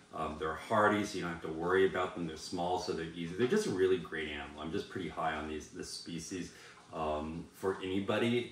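Very deep, low-pitched male speech at a fairly quick pace with fairly even intonation, audible room echo and light background noise. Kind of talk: casual vlog chat. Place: home room.

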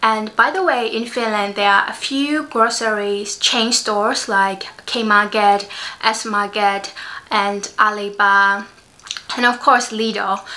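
A woman speaks very slowly with fairly even intonation. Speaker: vlogger. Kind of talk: casual vlog chat. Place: home room. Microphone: phone near.

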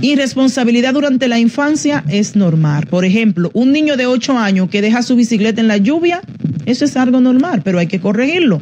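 Against light background noise, a woman talks at a fairly quick pace. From Dominican Republic. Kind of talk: teaching on parenting, broadcast live. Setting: radio and Facebook Live broadcast. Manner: informal, halting with fillers. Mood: calm, instructive. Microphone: phone near.

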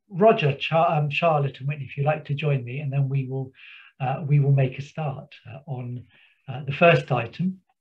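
A man with a somewhat breathy voice talks at a moderate pace, his pitch varying in an ordinary way. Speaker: webinar host. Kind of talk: host introduction of guests. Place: home room. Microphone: webcam.

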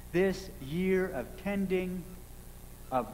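Light background noise sits under the recording. The voice belongs to a man. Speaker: minister. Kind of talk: sermon. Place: church. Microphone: podium.

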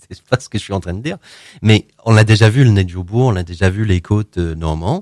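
A man with a fairly low voice talks at a moderate pace with ordinary pitch variation, the sound dry with no echo over a quiet background. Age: 40s. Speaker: painter; interview guest. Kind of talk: interview. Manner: halting, many repetitions and hesitations. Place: studio.

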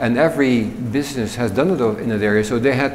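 A man speaks with a medium pitch and fairly even intonation. His pace is moderate, with light background noise. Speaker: automation engineer; conference presenter. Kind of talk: conference talk. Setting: stage with audience. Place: hall. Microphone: lapel.

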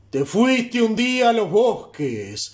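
A man's voice pitched high for him rises and falls with lively intonation. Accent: Uruguayan. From Uruguay. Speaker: poetry reciter. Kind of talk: poetry reading.

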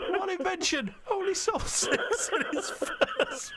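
Over noticeable background noise, a man talks at a very slow pace in an extremely high pitch with lively intonation. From Lancashire, England. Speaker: radio breakfast show presenter. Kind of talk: radio show presenter banter and quiz hosting. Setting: radio studio broadcast. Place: studio. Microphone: studio mic.

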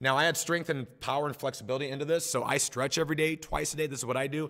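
Against a quiet background, a man with an American accent talks at a very fast pace. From Nebraska, US Midwest. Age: 40s. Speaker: martial arts instructor. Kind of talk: motivational talk. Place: home room. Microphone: webcam.

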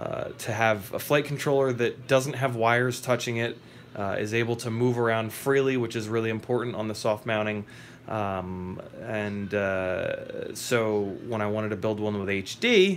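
With ordinary pitch variation and a moderate pace, a man speaks over light background noise. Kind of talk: tutorial. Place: workshop. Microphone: phone near.

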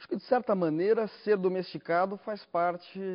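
In a quiet background, a man's speech proceeds at a moderate pace. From Brazil. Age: young. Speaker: literary critic and journalist; journalist. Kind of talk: TV interview. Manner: halting, many fillers. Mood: thoughtful, calm. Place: studio. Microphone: lapel.

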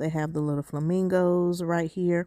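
A woman talks fairly slowly at a fairly low pitch, in a dark, mellow tone with monotone, flat intonation. The sound is dry with no echo, over a quiet background. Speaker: shopping vlogger. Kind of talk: casual vlog chat. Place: shop. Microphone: phone near.

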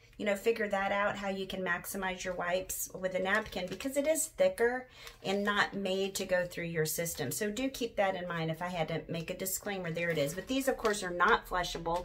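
A woman speaks at a fairly quick pace with hardly any pauses and ordinary pitch variation. Light background noise is present. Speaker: home vlogger. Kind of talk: casual vlog chat. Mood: lively, humorous. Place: bathroom. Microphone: phone near.

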